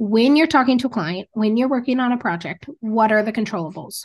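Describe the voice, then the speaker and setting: Over a quiet background, a woman with an American accent and a fairly high pitch talks in a normal speaking voice with ordinary pitch variation. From Montana. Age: 30s. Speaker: rancher and entrepreneur. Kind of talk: interview. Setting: video call.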